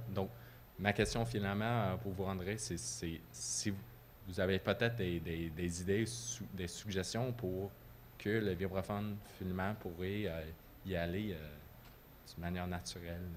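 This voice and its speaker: A man's very deep, low voice in a non-native accent, with vocal fry, ordinary pitch variation, a fairly slow pace, long, frequent pauses and audible room echo. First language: not French (speaking French). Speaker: audience member, music student. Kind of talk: audience question. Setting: lecture hall with microphone. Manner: halting, many hesitations.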